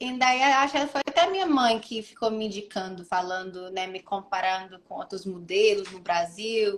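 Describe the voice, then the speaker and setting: Using lively intonation and big swings in loudness, a woman speaks at a moderate pace with hardly any pauses. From United States. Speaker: model. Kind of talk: interview. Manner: halting.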